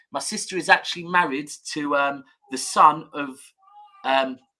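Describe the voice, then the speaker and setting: A man's fairly high, bright, sharp voice at a moderate pace with ordinary pitch variation. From Manchester, England. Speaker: football fan pundit. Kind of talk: casual chat.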